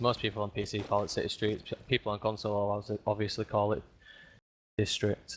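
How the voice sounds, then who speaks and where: Against a quiet background, a man with a fairly low pitch talks at a very fast pace in a monotone, flat intonation. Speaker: esports co-caster. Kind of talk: live commentary.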